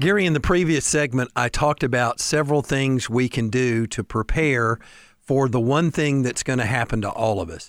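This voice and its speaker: With an unremarkable speaking voice, a man at a medium pitch keeps a moderate pace and ordinary pitch variation on a very clean recording with a silent background. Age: 60s. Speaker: elder law and estate planning attorney, radio co-host. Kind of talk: radio talk show, informational chat.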